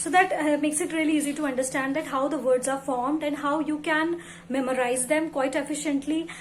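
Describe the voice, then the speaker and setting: At a moderate pace, a woman speaks in a high pitch with fairly even intonation. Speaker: book and English-learning YouTuber. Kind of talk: casual talk to camera.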